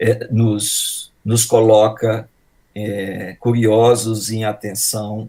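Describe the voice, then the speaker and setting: A man with a Brazilian accent talks in a fairly low pitch with a dark, mellow tone and monotone, flat intonation. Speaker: professor. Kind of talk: introduction speech.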